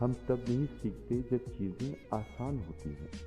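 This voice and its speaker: A man's voice with very wide pitch swings and music in the background. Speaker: voice over artist. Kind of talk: motivational quote reading.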